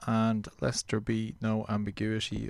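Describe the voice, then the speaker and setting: Pitched fairly low, a man's voice carries an Irish accent. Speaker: radio host. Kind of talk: low-key radio dj patter. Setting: radio show. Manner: relaxed, reflective; earnest, slightly rambling.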